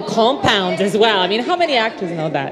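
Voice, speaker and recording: A woman's voice with very wide pitch swings, audible room echo and crowd noise in the background. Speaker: news presenter moderating a cast panel. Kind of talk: live panel Q&A moderation. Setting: stage with live audience, broadcast live. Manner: animated.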